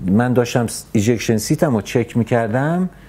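A man's voice at a moderate pace. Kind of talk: interview answer. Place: office. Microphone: studio mic.

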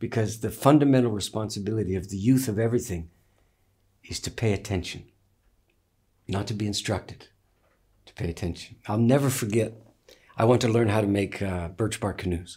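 In a quiet setting, a man speaks fairly quickly with a fairly low, somewhat breathy voice, a dark, mellow tone and ordinary pitch variation. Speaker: interviewee, teacher. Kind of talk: interview answer, storytelling. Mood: reflective, wry, amused. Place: home room.

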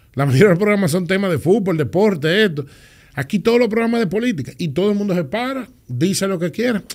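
Against a quiet background, a man with a high pitch talks at a very fast pace with lively intonation. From Dominican Republic. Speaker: public official; podcast guest. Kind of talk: interview. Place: studio. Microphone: studio mic.

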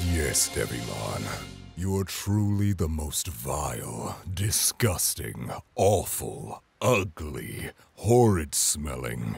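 Faint music plays in the background as a man speaks in a put-on character voice. His pitch is very deep and low, and his pace is very slow. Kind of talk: overwrought heroic declamation. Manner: solemn, dramatic, shouting battle cries.

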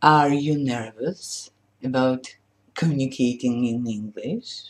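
A woman's very deep, low pitch at a very slow pace. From Poland. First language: Polish. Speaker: language teacher. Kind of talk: sales pitch. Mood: warm, smiling, cheerful. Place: home room. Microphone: webcam.

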